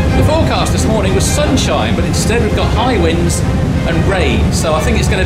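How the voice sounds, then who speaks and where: A man speaks at a fairly quick pace. Loud music plays in the background. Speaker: travel vlogger. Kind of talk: travel commentary. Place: boat. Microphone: phone near.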